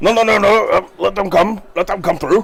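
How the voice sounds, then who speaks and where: Using a put-on character voice, a man speaks at a high pitch and moderate pace with ordinary pitch variation. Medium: actual play. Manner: showy, welcoming.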